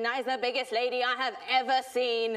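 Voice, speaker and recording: A woman's high-pitched voice at a moderate pace over a quiet background. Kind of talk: performed poem monologue. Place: stage.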